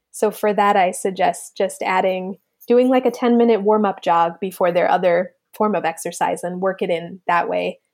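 A woman with an American accent speaks in a normal speaking voice at medium pitch and a moderate pace. Her intonation is fairly even, and the background is quiet. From New Jersey, Monmouth County. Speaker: pediatrician and running coach. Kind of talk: interview.

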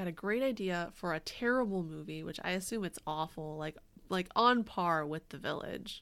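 A woman talks at a moderate pace with hardly any pauses, her fairly low pitch carrying lively intonation. The recording is very clean, with a silent background. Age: 30s. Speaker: podcast co-host. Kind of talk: casual chat and storytelling about history. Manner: animated.

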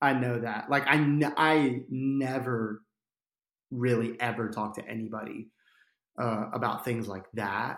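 A fairly slow pace with fairly even intonation. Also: man, medium pitch for a man. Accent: American. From New Jersey. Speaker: podcast guest, church nonprofit worker. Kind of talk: casual interview, coaching session. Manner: halting, self-correcting.

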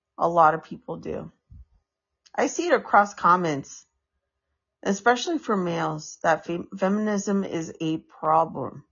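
The speaker has an American accent and ordinary pitch variation. The pace is fairly slow, with long, frequent pauses. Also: woman, fairly low pitch for a woman. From US, San Francisco. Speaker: podcaster. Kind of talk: casual monologue. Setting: home, on a couch. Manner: halting, many fillers.

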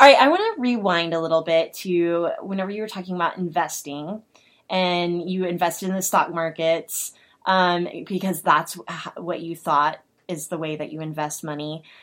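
With a plain, everyday voice and an American accent, a woman speaks at a moderate pace, fairly low in pitch with fairly even intonation, on a very clean recording with a silent background. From Oklahoma. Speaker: podcast co-host. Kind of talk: casual interview.

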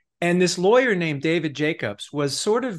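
Over a quiet background, a plain, everyday voice moves at a moderate pace with lively intonation. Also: man. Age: 50s. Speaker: author. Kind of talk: interview.

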